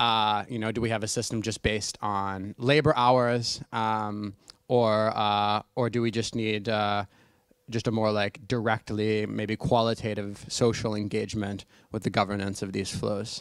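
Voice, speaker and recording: Against a quiet background, a man talks at a fairly slow pace with a fairly low pitch and monotone, flat intonation, the sound dry with no echo. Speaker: audience member. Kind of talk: audience question. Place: classroom. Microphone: handheld.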